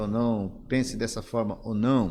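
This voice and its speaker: Speaking fairly slowly with ordinary pitch variation, a man uses a normal speaking voice. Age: 60s. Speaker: pastor and former denominational leader. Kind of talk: interview conversation.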